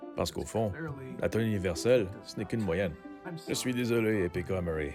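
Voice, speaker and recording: Over music in the background, a man's voice moves in very wide pitch swings. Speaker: live-action role-player. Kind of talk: casual product review to camera.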